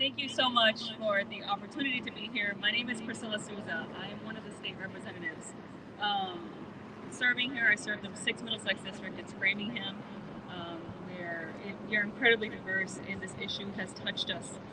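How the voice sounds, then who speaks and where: At a fairly quick pace, a woman talks at medium pitch with ordinary pitch variation and big swings in loudness, over noticeable background noise. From Brazil. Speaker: state legislator. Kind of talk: rally speech. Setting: outdoors with PA, State House steps.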